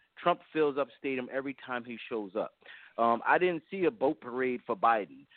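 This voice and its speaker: He has a plain, everyday voice, a man speaking at medium pitch and a moderate pace with ordinary pitch variation. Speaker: caller. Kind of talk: casual talk. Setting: phone call.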